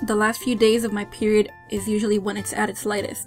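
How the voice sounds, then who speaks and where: A woman's voice with fairly even intonation over music in the background. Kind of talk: casual product review to camera.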